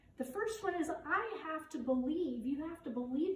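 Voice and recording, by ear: Lively intonation at a moderate pace, with audible room echo. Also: woman.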